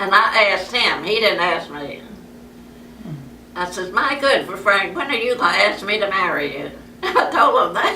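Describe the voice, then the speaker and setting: An American-accented woman speaks at a medium pitch and moderate pace, with lively intonation and long, frequent pauses. Noticeable background noise and audible room echo fill the recording. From US South, New Orleans. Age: 90s. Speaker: elderly woman telling her life story. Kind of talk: oral history interview. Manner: halting.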